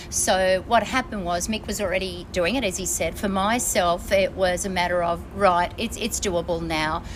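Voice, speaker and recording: A woman with an Australian accent speaks at a medium pitch and moderate pace, with fairly even intonation and hardly any pauses. Noticeable background noise sits behind her. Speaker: traveller. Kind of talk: casual chat. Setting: on board a ship.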